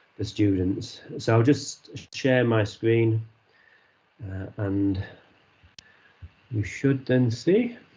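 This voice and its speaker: A man's very slow, somewhat breathy delivery with a Yorkshire accent, broken by long, frequent pauses. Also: medium pitch for a man, ordinary pitch variation. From Yorkshire, northern England. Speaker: university associate dean. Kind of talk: online presentation. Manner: hesitant, many fillers.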